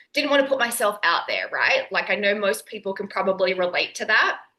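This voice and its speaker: A woman speaks at a medium pitch with an Australian accent. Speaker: nutritionist and online entrepreneur. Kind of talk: podcast interview.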